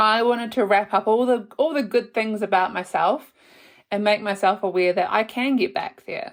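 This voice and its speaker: At a moderate pace, a woman with a medium pitch uses a normal speaking voice and lively intonation. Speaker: podcast host. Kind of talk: casual podcast talk. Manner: warm, chatty.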